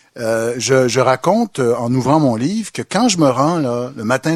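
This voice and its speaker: A man's voice with very wide pitch swings at a fairly slow pace, the sound dry and close with no echo. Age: 40s. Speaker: historian and professor. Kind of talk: public debate. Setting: bookstore event with audience.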